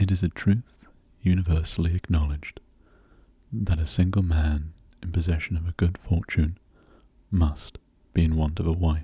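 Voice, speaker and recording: Soft-spoken and somewhat breathy, the voice has a dark, mellow tone and a calm, gentle tone, with fairly even intonation at a moderate pace. Long, frequent pauses break up the speech in a dry, close sound with no echo. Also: man, very deep, low pitch for a man. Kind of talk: soft-spoken ASMR audiobook reading of a classic novel. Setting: intimate close-mic recording for relaxation and sleep. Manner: soft-spoken, calm, gentle.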